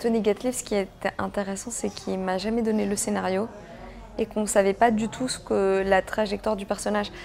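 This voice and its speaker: With a slight non-native accent, a woman speaks at a moderate pace and medium pitch in a monotone, flat intonation. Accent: slight foreign accent in French. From Belgium (Brussels), Greek family. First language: Greek (speaking French). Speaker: actress. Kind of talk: interview. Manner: hesitant, many fillers.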